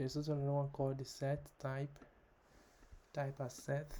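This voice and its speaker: Speaking at a moderate pace, a man uses a medium pitch and a dark, mellow tone that is somewhat breathy. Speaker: programming tutorial creator. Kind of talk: tutorial. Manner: hesitant, many fillers.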